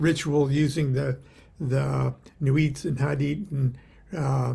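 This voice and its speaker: A man's dark, mellow voice, somewhat breathy, with an American accent and a very slow pace. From US West Coast, Long Beach, California. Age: 70s. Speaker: occult author and teacher. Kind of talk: casual daily livestream talk. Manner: halting, many fillers.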